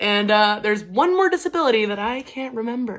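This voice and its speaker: A woman's bright, sharp voice with very wide pitch swings. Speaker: vlogger. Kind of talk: personal vlog monologue. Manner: high energy; halting.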